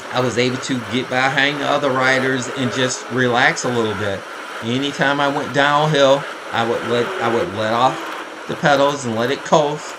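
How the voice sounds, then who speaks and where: Noticeable background noise and audible room echo around the voice of a man. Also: medium pitch for a man, fairly even intonation, moderate pace. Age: 60s. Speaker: amateur cyclist and triathlete, race commentary vlogger. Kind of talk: race recap commentary over video. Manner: casual, conversational with fillers.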